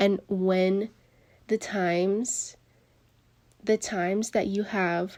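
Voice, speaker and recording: A woman speaks with a medium pitch. The recording is very clean, with a silent background. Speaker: tarot reader. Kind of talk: tarot reading talk. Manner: halting, with pauses and restarts.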